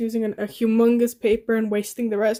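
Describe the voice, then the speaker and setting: A woman's voice has a dark, mellow tone. Behind her, the background stays quiet. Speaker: fursuit maker / craft vlogger; craft vlogger. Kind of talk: crafting vlog narration. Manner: casual, chatty; loud and clear. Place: home room. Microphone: phone near.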